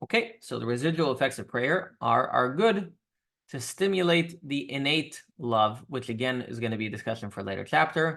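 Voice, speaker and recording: A man's medium-pitched, bright and sharp voice with vocal fry and very wide pitch swings. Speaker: rabbi teaching a weekly class. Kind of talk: religious class lecture. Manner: fast.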